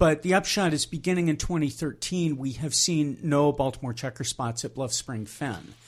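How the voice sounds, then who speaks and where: In a very clean recording with a silent background, a man speaks at a moderate pace with hardly any pauses, a fairly high pitch, ordinary pitch variation and a somewhat breathy quality. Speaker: entomologist. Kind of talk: interview.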